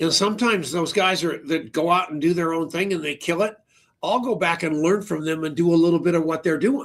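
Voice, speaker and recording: A man speaks fairly quickly in a high pitch with ordinary pitch variation. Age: 70s. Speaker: interview show host. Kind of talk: interview.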